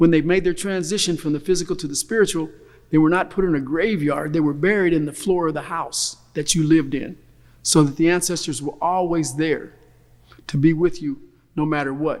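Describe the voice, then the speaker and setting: This is a normal speaking voice. A man talks fairly quickly at a fairly high pitch, with fairly even intonation. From US Midwest, Kokomo, Indiana. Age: 60s. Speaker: family elder speaking at a reunion. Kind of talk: recorded reflective talk.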